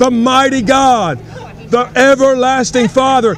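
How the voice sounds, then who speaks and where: Over music in the background, a man with an extremely high pitch speaks at a very slow pace. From United States, North Carolina. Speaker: street preacher. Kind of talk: street sermon, preaching. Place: street. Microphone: phone near.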